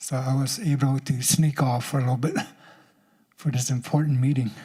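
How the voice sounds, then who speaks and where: A man's medium-pitched, somewhat breathy voice with a Southwestern US accent, dark and mellow in tone, at a fairly quick pace with very even loudness and fairly even intonation. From Apache nation, US Southwest. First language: Apache language. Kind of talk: public speech at summit.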